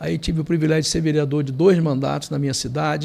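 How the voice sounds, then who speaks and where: In a very clean recording with a silent background, a man speaks at a fairly quick pace. His fairly high voice is somewhat breathy, and his intonation stays fairly even. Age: 60s. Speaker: lawyer and politician. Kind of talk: podcast interview.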